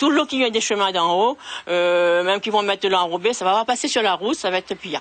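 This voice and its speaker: Fairly quick speech from a woman, with ordinary pitch variation. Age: 60s. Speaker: flood-affected resident. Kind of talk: news interview. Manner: halting.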